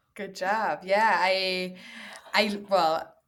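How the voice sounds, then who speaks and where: A woman with a German accent. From Germany. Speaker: language teacher and content creator. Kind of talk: interview.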